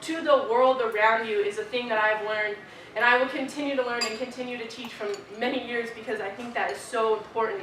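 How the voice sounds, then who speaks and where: Heard through audible room echo and noticeable background noise, a woman with an American accent speaks in a high voice. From US West (Arizona, then Idaho). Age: 20s. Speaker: student leader. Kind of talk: keynote speech. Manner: casual, filler-heavy.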